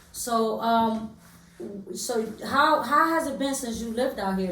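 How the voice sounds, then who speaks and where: A woman with lively intonation is heard through audible room echo and noticeable background noise. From New York, Harlem. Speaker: podcast host. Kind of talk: casual interview.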